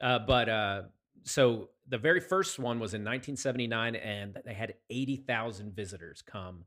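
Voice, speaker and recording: With an American accent, a man uses an ordinary speaking voice at medium pitch with ordinary pitch variation. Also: moderate pace. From Pennsylvania, Chester County. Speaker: podcast co-host. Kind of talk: casual chat.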